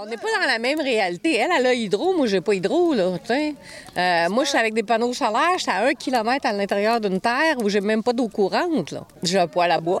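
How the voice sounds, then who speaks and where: Talking at a fairly quick pace with hardly any pauses, a woman with a Quebec accent uses a fairly high pitch and very wide pitch swings over noticeable background noise. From Quebec, Montreal. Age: 60s. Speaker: off-grid homesteader. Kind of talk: interview.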